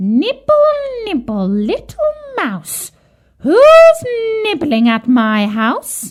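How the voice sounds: Using a shrill, put-on character voice at a high pitch, a woman speaks at a very slow pace with long, frequent pauses.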